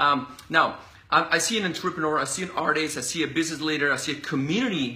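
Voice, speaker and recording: A man with a Spanish accent, fairly high pitch, ordinary pitch variation and an animated tone. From Colombia. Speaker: interview host. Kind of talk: casual interview. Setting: live video stream. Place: home room. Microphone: phone near.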